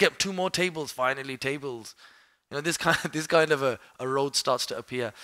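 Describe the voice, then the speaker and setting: A bright, sharp tone in a Birmingham accent, with ordinary pitch variation and a dry, close sound with no echo. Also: man, fairly high pitch for a man. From Birmingham, UK. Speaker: Islamic studies teacher. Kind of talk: mosque lecture to a live audience. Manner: conversational, asks the audience questions.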